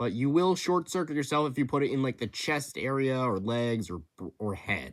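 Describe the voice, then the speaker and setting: A man at a medium pitch and fairly quick pace, on a very clean recording with a silent background. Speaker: YouTuber running a fan creature contest. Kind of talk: casual monologue explaining rules. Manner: halting, stuttering; many filler words.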